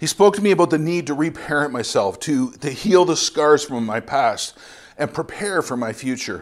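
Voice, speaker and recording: A man with a Canadian accent has an unremarkable speaking voice, a fairly high pitch and lively intonation at a moderate pace. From Ontario, Canada. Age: 50s. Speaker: missionary preacher. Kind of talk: sermon. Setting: church.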